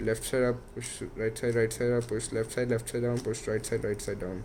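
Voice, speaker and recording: A man's medium-pitched voice with a dark, mellow tone, monotone, flat intonation and a non-native accent. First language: not English. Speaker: YouTuber teaching Rubik's cube. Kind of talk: tutorial.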